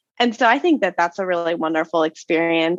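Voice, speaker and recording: Her intonation lively, a woman speaks with a Montana accent. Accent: American (Montana). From Montana, US. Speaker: podcast guest, American living in France. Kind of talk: interview. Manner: loud; animated.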